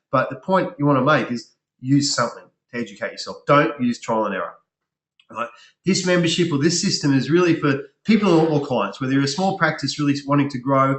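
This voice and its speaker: At a fairly quick pace, a man with a fairly high pitch and ordinary pitch variation sounds somewhat breathy. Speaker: business coach for health practitioners. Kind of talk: webinar sales presentation. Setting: online webinar. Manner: fast.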